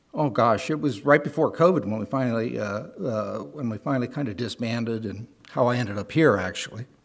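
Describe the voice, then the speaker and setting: Speaking with an American accent, a man moves at a fairly quick pace with lively intonation. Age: 60s. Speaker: church member. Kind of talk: testimony. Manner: halting.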